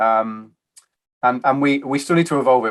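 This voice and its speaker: A man talks at a very fast pace with a British accent. His pitch is medium. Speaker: IT architecture advisor. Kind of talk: interview. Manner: halting.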